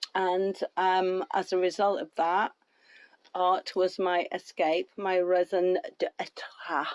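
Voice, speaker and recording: A woman at a medium pitch speaks at a very slow pace, with a dry, close sound and no echo. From northern England. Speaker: author and artist. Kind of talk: casual interview chat. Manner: animated.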